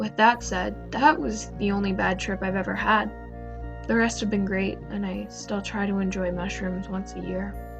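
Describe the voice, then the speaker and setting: Music plays in the background as someone talks at a moderate pace. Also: woman. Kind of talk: horror story narration.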